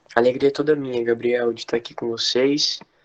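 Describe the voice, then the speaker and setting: Delivered at a moderate pace, the voice stays monotone with flat intonation. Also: man. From Brazil, interior of São Paulo state (Marília). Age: 20s. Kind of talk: religious talk in an online prayer livestream. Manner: casual, conversational.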